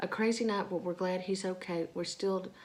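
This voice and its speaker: Quietly and at a moderate pace, a woman talks in a fairly low voice with fairly even intonation. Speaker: vlogger, stay-at-home mom. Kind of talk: casual vlog talk. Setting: at home, early morning. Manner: speaking quietly; halting, many fillers.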